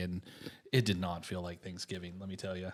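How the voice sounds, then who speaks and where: A man speaks with an American accent, his pitch very deep and low. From United States. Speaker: podcast host and mortgage lender. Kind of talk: casual interview chat.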